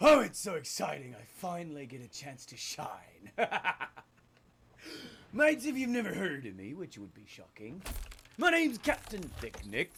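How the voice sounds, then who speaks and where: A put-on character voice sits at a middle pitch and moves at a moderate pace. Long, frequent pauses break it up. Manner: excited, boastful.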